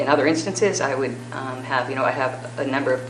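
Noticeable background noise runs under speech that moves fairly quickly. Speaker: candidate for acting school superintendent. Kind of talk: job interview answer at public meeting. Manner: fast; measured.

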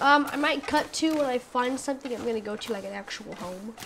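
Over noticeable background noise, a woman talks very fast with ordinary pitch variation. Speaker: gaming YouTuber. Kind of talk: let's play gameplay commentary. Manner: rambling, hesitant with fillers; excitable, panicky outbursts.

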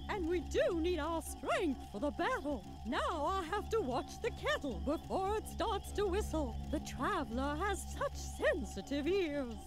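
Someone talks in a put-on character voice at a moderate pace with hardly any pauses while loud music plays in the background. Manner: distracted, fussy.

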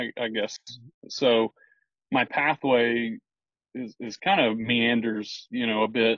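A man with a Texan accent at a very slow pace, with long, frequent pauses and fairly even intonation, over a quiet background in a dry sound with no echo. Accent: Texan American. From Texas (Houston, then small-town Brenham). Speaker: builder. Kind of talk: casual interview chat. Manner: halting, many repetitions and fillers. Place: car. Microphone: video call.

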